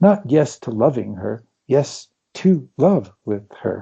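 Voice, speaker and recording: Vocal fry marks a man's fairly high voice, which has a dark, mellow tone and lively intonation. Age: 70s. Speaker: physician and consciousness teacher. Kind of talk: interview. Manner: halting.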